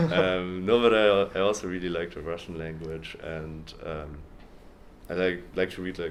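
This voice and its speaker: A man with a German accent speaks at a very deep, low pitch with fairly even intonation and big swings in loudness. He keeps a moderate pace, and audible echo fills the room. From Germany. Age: 20s. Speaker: university student. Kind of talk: interview. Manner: hesitant, many ums and repetitions.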